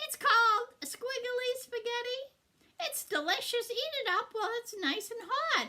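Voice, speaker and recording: In a put-on character voice, a woman speaks in an extremely high, squeaky pitch with lively intonation at a moderate pace. Her loudness swings widely. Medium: read story.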